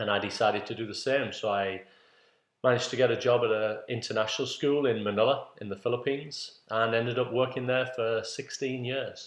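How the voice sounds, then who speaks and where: In a northeast English accent, a man talks at a medium pitch with monotone, flat intonation. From northeast England, Middlesbrough. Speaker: PE teacher and coach. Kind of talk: introductory talk to parents. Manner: halting with fillers.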